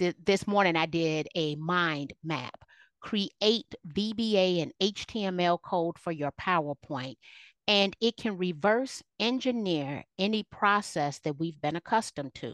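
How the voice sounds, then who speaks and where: An unremarkable speaking voice from a woman, fairly low in pitch and fairly slow, with lively intonation, a dry, close sound with no echo and a quiet background. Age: 50s. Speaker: keynote speaker and realtor. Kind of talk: casual interview.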